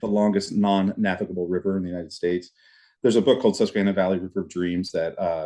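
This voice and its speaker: A fairly low-pitched man at a very fast pace over a quiet background. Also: fairly even intonation. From East Tennessee, Knoxville. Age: 40s. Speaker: community organizer. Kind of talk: interview conversation. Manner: halting, many fillers and repeats.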